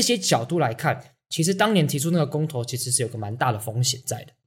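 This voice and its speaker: A man talking at a very fast pace, somewhat breathy, with lively intonation. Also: big swings in loudness. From Taiwan. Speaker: podcast co-host, marketing speaker. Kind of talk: casual chat.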